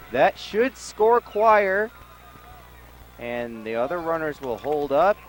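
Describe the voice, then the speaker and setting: The speaker goes at a very slow pace with very wide pitch swings. The sound is dry and close with no echo, and noticeable background noise is present. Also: man. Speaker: sports announcer. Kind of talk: high school baseball and football play-by-play.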